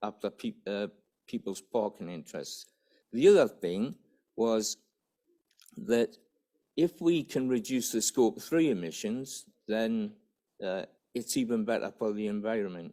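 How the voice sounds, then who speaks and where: In a Geordie accent, the voice has a dark, mellow tone and lively intonation. It moves at a fairly slow pace with long, frequent pauses. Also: man, medium pitch for a man. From northern England, Newcastle area. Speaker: business development officer. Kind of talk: conference presentation. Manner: halting.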